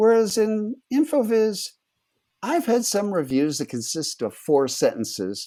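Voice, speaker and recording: A man speaks in a high, dark, mellow tone with very wide pitch swings. His pace is fairly slow. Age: 70s. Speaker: statistician and computer scientist. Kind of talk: interview conversation.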